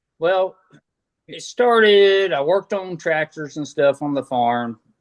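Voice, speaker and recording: A man with a Southern US accent talks fairly slowly in a high voice, with lively intonation and big swings in loudness, the sound dry and close with no echo. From North Carolina, US South. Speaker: motocross mechanic. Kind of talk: casual interview chat.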